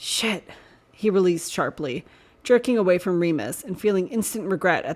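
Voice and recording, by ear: A passage is read aloud in a natural voice. Pitch moves up and down in an ordinary way.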